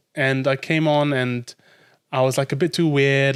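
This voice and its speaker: A man speaks with medium pitch in an ordinary speaking voice. His intonation is fairly even and his pace moderate. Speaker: stand-up comedian. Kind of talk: podcast interview answer.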